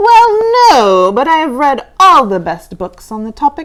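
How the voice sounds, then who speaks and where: A put-on character voice swings very widely in pitch at a moderate pace. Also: female-sounding voice, high pitch for a woman. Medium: read story. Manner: polite, mild.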